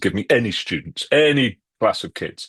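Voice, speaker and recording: A man with a British accent speaks with lively intonation. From UK. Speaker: author and educator. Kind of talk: podcast interview. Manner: conversational, with fillers.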